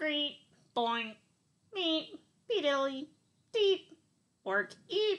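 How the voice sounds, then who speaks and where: A woman puts on a squeaky, high-pitched character voice with a menacing tone. She speaks at a very slow pace, with long, frequent pauses. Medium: read story. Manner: bleeping, menacing.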